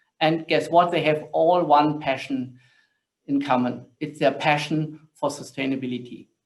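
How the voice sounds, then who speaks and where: Speaking with a German accent at a fairly slow pace, a man with a fairly high pitch keeps a monotone, flat intonation. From Germany. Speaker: corporate sustainability director, panel moderator. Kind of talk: panel discussion moderation.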